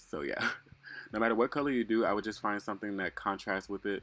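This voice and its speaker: With a plain, everyday voice, a man speaks at a fairly low pitch and with fairly even intonation in a very clean recording with a silent background. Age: 20s. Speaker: male beauty influencer. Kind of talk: makeup tutorial voiceover. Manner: casual, chatty.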